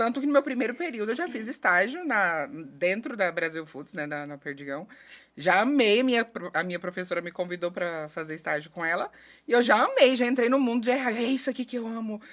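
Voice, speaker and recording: With a strong Goiás accent, a woman speaks at a fairly quick pace and a fairly high pitch. Her pitch swings very widely and her loudness varies a lot. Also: very clean recording, silent background. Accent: Goiás accent, kept strong. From Goiás, Brazil (Rio Verde). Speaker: HR specialist and conflict mediator. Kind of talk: podcast interview. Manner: chatty, animated.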